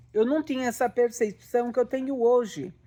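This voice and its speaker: A woman speaks in a high voice. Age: 60s. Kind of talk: religious teaching monologue. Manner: halting.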